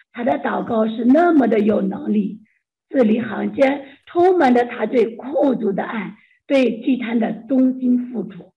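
Speaking at a fairly slow pace, a woman with a fairly high pitch shows vocal fry and ordinary pitch variation. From China. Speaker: church member sharing testimony. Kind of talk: testimony.

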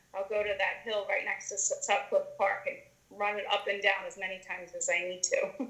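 A woman with an American accent talks at a moderate pace against noticeable background noise. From US Northeast, Pennsylvania (Conshohocken). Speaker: yoga studio owner. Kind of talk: interview conversation. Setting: video call.

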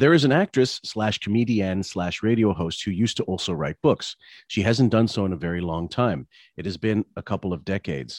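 A man speaks in a normal speaking voice, fairly low-pitched, at a fairly quick pace with lively intonation, recorded dry and close with no echo. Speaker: podcast host. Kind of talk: casual commentary podcast chat. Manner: casual, profane, chatty.

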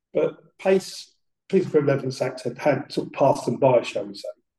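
A man with a dark, mellow, somewhat breathy tone, ordinary pitch variation and a moderate pace. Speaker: retired detective and police trainer. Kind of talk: casual interview. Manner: halting.

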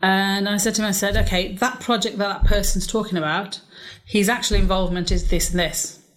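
A woman talks at a fairly quick pace and medium pitch. Her intonation is fairly even. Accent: English. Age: 40s. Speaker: property investor. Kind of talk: interview.

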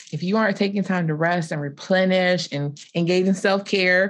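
With a South Carolina accent, a woman speaks at a fairly low pitch. Her intonation is fairly even. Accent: US Southern, South Carolina. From South Carolina Lowcountry. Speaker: marriage and family therapist. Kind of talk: panel discussion on livestream.

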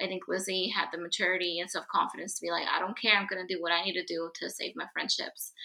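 A woman with a Spanish accent speaks at a fairly quick pace in a medium pitch. Her tone is bright and sharp, and her intonation fairly even. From Mexico. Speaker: guest, Hillary Duff fan. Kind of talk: casual chat.

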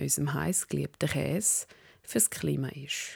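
Vocal fry marks a woman's very deep, low voice at a moderate pace, recorded dry and close with no echo in a very clean recording with a silent background. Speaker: podcast host. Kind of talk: scripted narration; casual chat. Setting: home kitchen. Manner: animated.

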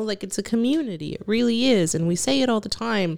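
A woman's voice with lively intonation, on a very clean recording with a silent background. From Mexican-American, US. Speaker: podcast co-host. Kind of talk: casual chat. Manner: quiet.

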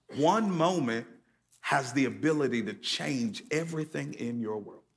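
In an American accent and an unremarkable speaking voice, a man with fairly high pitch speaks at a moderate pace with lively intonation on a very clean recording with a silent background. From US Northeast, Connecticut. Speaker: pastor. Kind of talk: sermon. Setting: church service with live audience.

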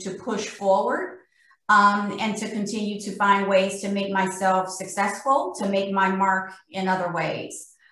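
Her intonation monotone and flat, a woman speaks at a medium pitch and a fairly slow pace. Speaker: corporate vice president. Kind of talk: panel discussion. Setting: video call.

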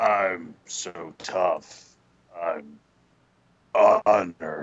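The speaker is a man doing a put-on character voice. He pitches it very deep and low. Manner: tough, macho.

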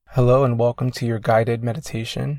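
In a very clean recording with a silent background and a dry, close sound with no echo, a man speaks at medium pitch in a somewhat breathy voice with a dark, mellow, calm and soothing tone. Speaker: meditation coach. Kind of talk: guided meditation. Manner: slow, soothing, gentle; calm, measured, with long pauses.

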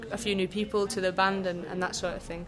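This voice has a Lancashire accent and fairly even intonation. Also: woman. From Lancashire, northern England. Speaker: jazz saxophonist and composer. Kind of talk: casual interview. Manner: hesitant, many fillers.

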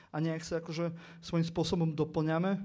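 Speaking fairly quickly in an eastern Slovak accent, a man uses a fairly high pitch. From eastern Slovakia. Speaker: political podcaster. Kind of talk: panel discussion.

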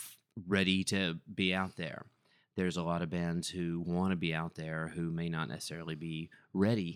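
With an American accent, a man of very deep, low pitch speaks at a moderate pace in a monotone, flat intonation on a very clean recording with a silent background. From Texas (Texarkana). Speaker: touring rock musician. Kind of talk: casual chat.

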